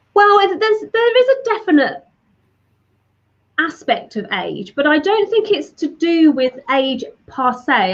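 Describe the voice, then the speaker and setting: Speaking at a fairly slow pace, a woman with a British accent sweeps through very wide pitch swings. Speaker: digital marketing strategist. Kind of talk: interview.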